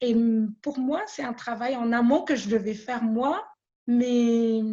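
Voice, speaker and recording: This woman's voice has a dark, mellow tone and a fairly high pitch. She talks at a very slow pace. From Madagascar. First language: Malagasy (speaking French). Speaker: small business owner. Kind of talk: interview testimony. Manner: halting, many repetitions.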